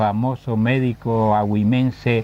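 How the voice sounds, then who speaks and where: A man with a medium pitch speaks in a monotone, flat way. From Canary Islands, Gran Canaria (Agüimes). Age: 70s. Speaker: retired teacher of language and literature. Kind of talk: interview.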